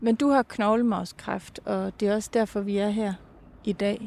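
A dark, mellow tone with fairly even intonation at a fairly slow pace. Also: woman. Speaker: podcast producer and interviewer. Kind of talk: interview and narration. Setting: outdoors on a bench.

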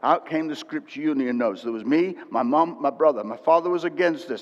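This is a man with an unremarkable speaking voice and a fairly high pitch. He talks at a fairly quick pace with ordinary pitch variation. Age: 60s. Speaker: preacher. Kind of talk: sermon. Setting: church with congregation.

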